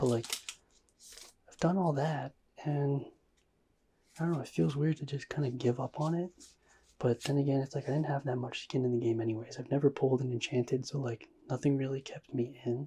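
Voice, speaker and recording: The speaker is soft-spoken with a relaxed tone and a fairly quick pace. Long, frequent pauses break up the speech. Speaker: ASMR trading card pack-opening YouTuber. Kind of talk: ASMR pack-opening commentary. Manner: soft-spoken, relaxed.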